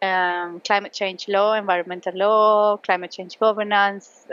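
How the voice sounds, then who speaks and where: A woman with a Spanish accent speaks at a moderate pace in a medium pitch, her intonation monotone and flat. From Colombia. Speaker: law professor. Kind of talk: casual interview. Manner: hesitant, many fillers.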